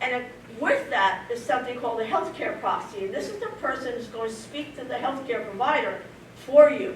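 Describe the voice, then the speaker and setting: In a room with audible echo and noticeable background noise, a woman with a high pitch talks at a fairly quick pace, her intonation lively and her loudness swinging widely. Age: 70s. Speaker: person living with early onset Alzheimer's sharing her story. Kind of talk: personal testimony at a community presentation. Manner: halting, with many fillers and restarts.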